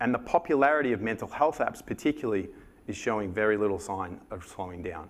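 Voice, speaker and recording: The speaker is a man with an Australian accent. He uses lively intonation. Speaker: conference speaker. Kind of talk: conference presentation.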